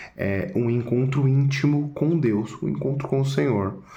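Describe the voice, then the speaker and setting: A soft-spoken man with a dark, mellow tone, ordinary pitch variation, and audible room echo. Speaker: church study group member presenting a chapter. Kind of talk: video presentation summarizing a book chapter. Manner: soft-spoken, speaking quietly.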